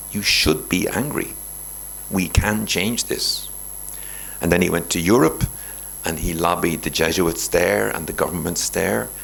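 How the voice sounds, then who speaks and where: Through noticeable background noise, a man with an Irish accent and a very deep, low pitch speaks at a fairly slow pace, his lively intonation broken by long, frequent pauses. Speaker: Jesuit priest, guest speaker. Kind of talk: lecture. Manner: animated.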